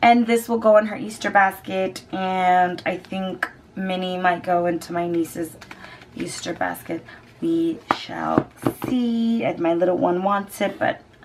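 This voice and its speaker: A woman talks at a medium pitch with ordinary pitch variation. Noticeable background noise sits behind her voice. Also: big swings in loudness. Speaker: beauty vlogger. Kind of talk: product review. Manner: animated.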